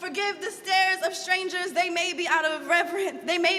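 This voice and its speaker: A woman with an extremely high pitch speaks in a raised, projected voice with a passionate tone. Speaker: spoken word artist. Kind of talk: spoken word poetry performance.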